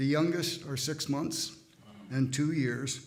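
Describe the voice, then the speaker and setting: A man's somewhat breathy, fairly high voice at a very slow pace, with fairly even intonation and audible room echo. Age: 80s+. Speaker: church member speaking at service. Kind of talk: testimony. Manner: halting.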